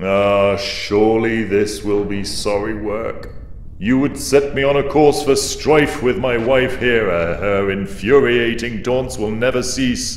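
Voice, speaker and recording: Putting on a character voice at medium pitch, a man speaks at a fairly slow pace amid clear background noise and a slight echo. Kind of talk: epic dramatic reading. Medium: read story. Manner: weighty, commanding, then threatening.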